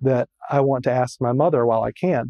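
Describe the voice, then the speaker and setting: This man talks very fast in a dark, mellow tone. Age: 60s. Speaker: keynote speaker. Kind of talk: keynote talk. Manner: halting, many repeated words.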